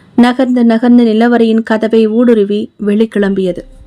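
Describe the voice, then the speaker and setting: A woman's fairly high voice is heard with music playing behind it. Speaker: author and narrator. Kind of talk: horror audiobook narration.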